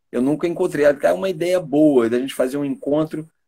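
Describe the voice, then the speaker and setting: This man's voice sits fairly high in pitch, with a dark, mellow tone and a fairly quick pace. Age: 60s. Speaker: stage actor. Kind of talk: interview.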